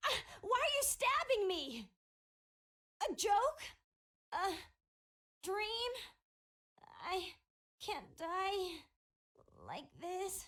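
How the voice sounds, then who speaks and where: In a put-on character voice, a female-sounding speaker uses an extremely high pitch and a very slow pace, with long, frequent pauses. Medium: fan dub. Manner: crude, mocking.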